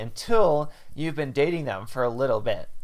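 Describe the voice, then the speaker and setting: Fairly high in pitch, a man with an unremarkable speaking voice talks at a moderate pace with ordinary pitch variation. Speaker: podcast host. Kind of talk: casual chat.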